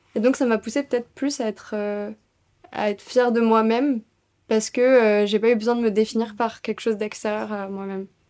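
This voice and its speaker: A woman with a fairly high pitch and a dark, mellow tone speaks in a monotone, flat intonation, with long, frequent pauses. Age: 20s. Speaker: student. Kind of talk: casual chat.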